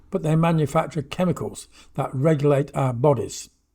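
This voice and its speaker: A man speaks in a fairly high pitch with a somewhat breathy quality. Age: 80s+. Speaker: talking book narrator on gut and soil microbes. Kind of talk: reading aloud.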